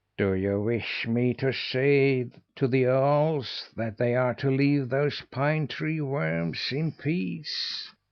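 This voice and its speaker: Using a put-on character voice at a medium pitch, a man talks at a very slow pace with hardly any pauses, ordinary pitch variation and a hissing sound. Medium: read story.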